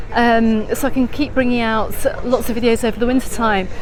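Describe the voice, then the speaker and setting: Over crowd noise and audible room echo, a woman with a British accent speaks at a fairly quick pace in a high pitch. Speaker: travel vlogger. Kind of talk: live stream walking tour. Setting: outdoors.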